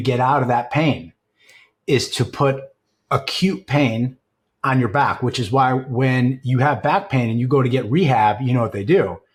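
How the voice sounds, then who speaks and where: In a very clean recording with a silent background, a man speaks at a moderate pace and medium pitch. His voice is somewhat breathy, with ordinary pitch variation. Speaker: CEO and leadership coach. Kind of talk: podcast conversation.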